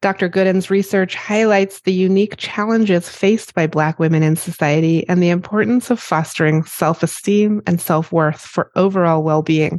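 This woman has an unremarkable speaking voice with a fairly low pitch and ordinary pitch variation. She keeps a moderate pace with very even loudness and hardly any pauses. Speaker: podcast host. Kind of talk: interview for a podcast, with scripted intro and outro.

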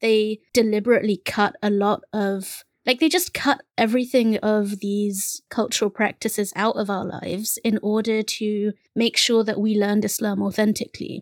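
The speaker has a London accent and talks at a moderate pace with hardly any pauses. Intonation stays fairly even in a very clean recording with a silent background. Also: woman, fairly high pitch for a woman, dry, close sound with no echo. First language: Bengali. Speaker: podcast co-host, bookseller. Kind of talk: casual conversation.

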